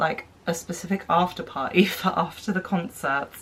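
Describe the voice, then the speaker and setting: A woman with a British accent talks at a moderate pace in a fairly low voice with lively intonation. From United Kingdom. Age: 20s. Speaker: blogger. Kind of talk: casual talk to camera.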